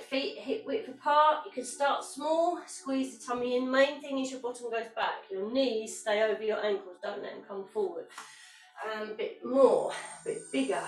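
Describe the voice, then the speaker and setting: In a room with audible echo and light background noise, a woman speaks fairly slowly at a high pitch. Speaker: fitness instructor. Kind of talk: exercise class instruction. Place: home room. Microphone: camera far.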